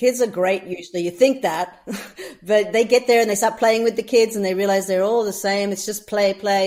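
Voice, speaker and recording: A woman with an Australian accent, animated in tone, at a fairly quick pace. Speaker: humanitarian volunteer leader. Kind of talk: casual interview. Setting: podcast.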